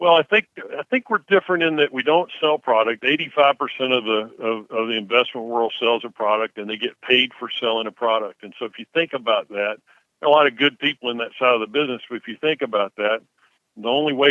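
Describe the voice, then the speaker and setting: Someone with a Southern US accent talks at a very fast pace with ordinary pitch variation. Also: man. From Mississippi (Tupelo). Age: 60s. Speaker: investment firm CEO. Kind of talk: interview. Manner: hesitant, many fillers.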